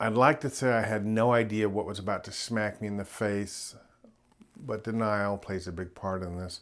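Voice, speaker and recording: Speaking at a moderate pace, a man with a fairly low pitch keeps his intonation fairly even on a very clean recording with a silent background. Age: 60s. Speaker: nurse practitioner and YouTuber. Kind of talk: personal video update.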